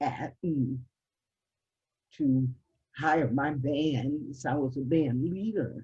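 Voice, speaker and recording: Speaking at a very slow pace, a woman uses a very deep, low, somewhat breathy voice with ordinary pitch variation. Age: 70s. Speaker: musician and college professor. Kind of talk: interview.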